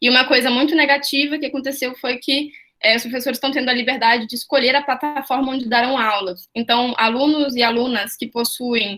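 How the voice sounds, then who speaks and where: A woman with a high pitch speaks at a fairly quick pace with hardly any pauses and fairly even intonation. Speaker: student representative. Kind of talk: online panel discussion. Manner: fast.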